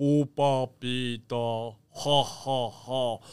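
Monotone, flat intonation from a man at medium pitch, in a put-on character voice. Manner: playful, nonsense sounds.

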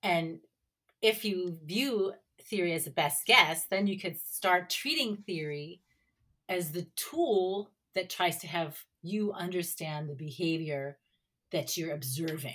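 A woman with an unremarkable speaking voice talks at a fairly slow pace in a fairly low pitch. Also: ordinary pitch variation. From United States. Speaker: university professor. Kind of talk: academic interview.

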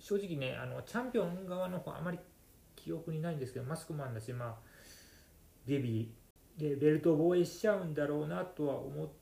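The voice is somewhat breathy, with a dark, mellow tone. It moves at a fairly quick pace with lively intonation. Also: man, fairly high pitch for a man. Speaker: podcast host, wrestling fan. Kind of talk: casual solo monologue. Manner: soft-spoken.

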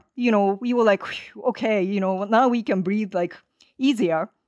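With a Japanese accent, a woman speaks at a moderate pace in a dry, close sound with no echo against a quiet background. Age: 50s. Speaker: activist organizer. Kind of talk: interview conversation. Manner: halting with many fillers.

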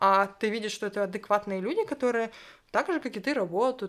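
In a very clean recording with a silent background, a woman with an unremarkable speaking voice talks at a fairly quick pace, her medium pitch showing ordinary variation. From Ukraine. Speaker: LGBT activist. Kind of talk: casual interview.

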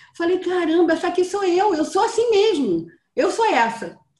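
A woman speaks at a moderate pace. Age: 60s. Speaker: training participant. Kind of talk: interview.

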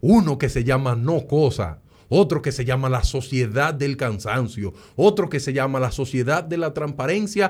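A man with a Dominican accent speaks at a moderate pace and medium pitch, his voice somewhat breathy. His tone is animated and his intonation lively. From Dominican Republic, Sosúa. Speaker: data scientist. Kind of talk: casual interview.

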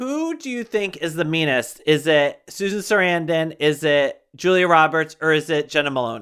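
In a very clean recording with a silent background, a normal speaking voice with an American accent moves at a moderate pace with lively intonation and hardly any pauses. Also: man, fairly high pitch for a man. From Connecticut. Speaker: podcast host. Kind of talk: casual chat.

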